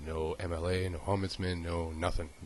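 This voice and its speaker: A man's very deep, low, somewhat breathy voice. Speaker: injured worker. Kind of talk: personal testimony. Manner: halting.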